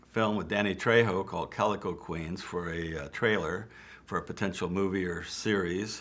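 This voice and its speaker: A man with a very deep, low pitch speaks at a fairly slow pace, keeping his intonation fairly even. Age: 70s. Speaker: retired film extra and actor. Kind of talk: interview monologue. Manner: casual, hesitant with fillers.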